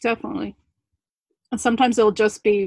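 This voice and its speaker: A woman with a New Jersey accent and ordinary pitch variation, in a dry, close sound with no echo. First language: not English. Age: 30s. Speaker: small business owner and social worker. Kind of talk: casual interview conversation.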